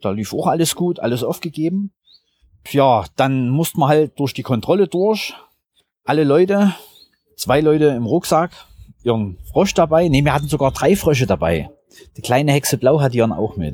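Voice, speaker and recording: A man's fairly high, dark and mellow voice with lively intonation, a moderate pace and long, frequent pauses. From Saxony, Germany. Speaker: geocacher. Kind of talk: interview.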